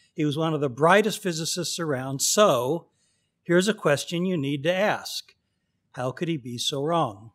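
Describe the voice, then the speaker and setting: A man with a General American accent speaks in an ordinary speaking voice at a fairly high pitch and a moderate pace, with ordinary pitch variation, in a very clean recording with a silent background. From California, Pasadena. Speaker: astrophysicist. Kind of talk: lecture.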